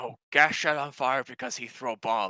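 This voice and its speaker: This man puts on a character voice. His pitch is medium and his pace moderate. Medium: actual play. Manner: broken English, dropped articles, stuttering.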